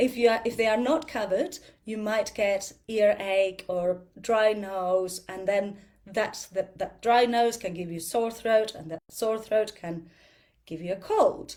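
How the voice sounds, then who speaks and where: A woman with an Argentinian accent at a fairly slow pace, fairly high in pitch with ordinary pitch variation and big swings in loudness. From Argentina. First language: Spanish. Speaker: yoga and ayurveda teacher. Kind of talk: talk to a group. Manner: halting, with fillers; animated, talks with hands.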